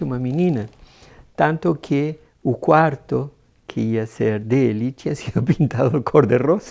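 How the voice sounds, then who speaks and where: A man with lively intonation over a quiet background. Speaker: adoptive father. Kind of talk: documentary interview.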